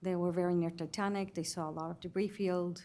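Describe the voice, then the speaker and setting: This woman has a dark, mellow tone and a fairly low pitch. Her intonation is fairly even, and she speaks with a non-native accent. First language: not English. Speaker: witness at a hearing, former submersible dive participant. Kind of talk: testimony. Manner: halting.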